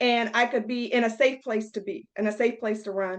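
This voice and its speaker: With an American accent and an unremarkable speaking voice, a woman talks at a moderate pace and a fairly high pitch with ordinary pitch variation against a quiet background. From rural Virginia, Piedmont region. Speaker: running coach. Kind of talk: webinar presentation.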